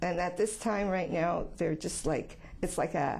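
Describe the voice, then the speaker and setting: At a fairly slow pace, a woman speaks with vocal fry, medium pitch and ordinary pitch variation. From Quebec, Canada. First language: French. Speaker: office worker dealing with the public. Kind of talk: interview answers. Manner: halting, with fillers and repetitions.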